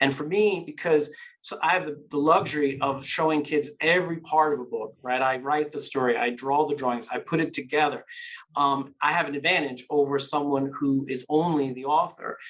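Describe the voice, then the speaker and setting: The speaker has an American accent and talks at a moderate pace. The intonation is fairly even. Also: man, fairly high pitch for a man. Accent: New York Queens accent, partial. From New York, Queens. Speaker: children's author and illustrator. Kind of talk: interview conversation.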